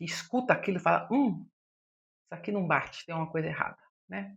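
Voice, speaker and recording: Loudness rises and falls in big swings as a woman speaks. Her delivery is very fast. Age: 60s. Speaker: psychologist. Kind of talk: podcast monologue.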